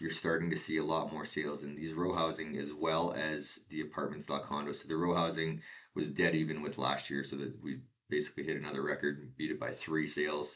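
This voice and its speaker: In a Canadian accent, a man with a very deep, low pitch and vocal fry talks at a fairly quick pace in a monotone, flat intonation. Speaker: real estate agent. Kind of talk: market update presentation. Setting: screen share recording. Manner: fast.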